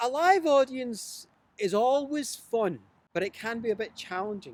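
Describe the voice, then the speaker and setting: Fairly slow speech in a Glasgow accent with lively intonation. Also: man, extremely high pitch for a man. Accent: Scottish (Glasgow). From Glasgow, Scotland. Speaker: storyteller and writer. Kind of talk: interview answer.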